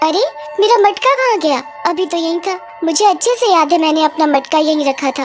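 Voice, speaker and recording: A put-on character voice over clear music in the background. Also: woman, extremely high pitch for a woman, moderate pace. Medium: read story. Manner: stammering when scared.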